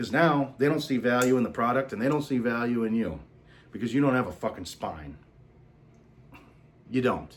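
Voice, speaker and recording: Man with a medium-pitched voice, a moderate pace and some vocal fry. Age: 30s. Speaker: salesman and vlogger. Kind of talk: casual monologue vlog. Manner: casual, profane, halting with fillers.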